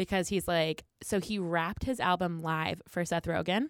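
A woman's normal speaking voice, fairly low in pitch, with an American accent and fairly even intonation, on a very clean recording with a silent background. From New Jersey, Philadelphia area. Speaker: improv comedian. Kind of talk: casual chat.

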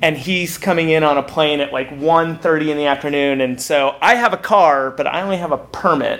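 A man speaks at a fairly high pitch and a moderate pace while noticeable background noise carries on behind him. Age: 30s. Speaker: theater producer. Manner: profane, animated.

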